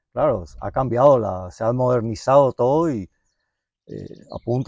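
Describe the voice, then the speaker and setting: A man with a medium pitch and a dark, mellow tone speaks at a fairly slow pace with ordinary pitch variation. The sound is dry and close with no echo, and the background is quiet. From Misiones, northeast Argentina. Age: 60s. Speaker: mechanic, workshop owner. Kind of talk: interview, life story. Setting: at home. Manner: halting, many fillers.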